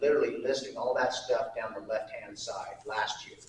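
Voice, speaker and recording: This is a man talking. Room echo can be heard around his voice. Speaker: city administrator presenting budget. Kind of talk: public meeting presentation. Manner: loud.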